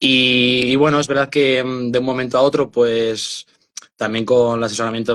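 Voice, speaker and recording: A man at a moderate pace with a medium-pitched voice. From Spain, Burgos. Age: 20s. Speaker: author and mental health activist. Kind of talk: interview testimony. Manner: hesitant, many fillers and repetitions.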